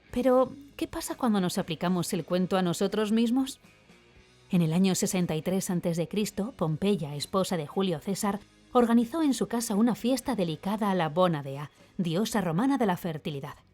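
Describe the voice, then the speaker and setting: Music plays in the background as the speaker talks at a moderate pace. The intonation is lively, in a Castilian accent. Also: woman, medium pitch for a woman. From Spain. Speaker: voice actor. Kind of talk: opinion column read aloud. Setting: home studio.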